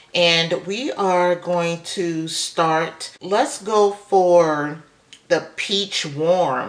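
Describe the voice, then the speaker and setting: Through noticeable background noise, a woman speaks very slowly at a fairly low pitch with ordinary pitch variation. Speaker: beauty vlogger. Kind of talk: makeup tutorial. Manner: casual, chatty.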